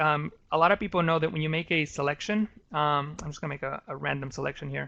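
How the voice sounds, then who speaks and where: A man talks at a very fast pace in a fairly high, bright, sharp voice with fairly even intonation. The background is quiet. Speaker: Photoshop instructor. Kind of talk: live tutorial presentation. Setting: online web conference. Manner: halting, many fillers.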